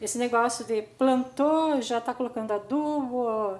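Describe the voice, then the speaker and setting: Someone with a Brazilian accent speaks at a very slow pace with ordinary pitch variation. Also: woman. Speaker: gardening youtuber. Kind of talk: tutorial.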